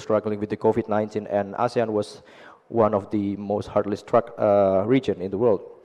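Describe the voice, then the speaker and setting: A man's fairly low, monotone, flat voice at a moderate pace. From Indonesia, Surabaya. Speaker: university lecturer in international relations. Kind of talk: conference panel talk. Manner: halting, many fillers and restarts.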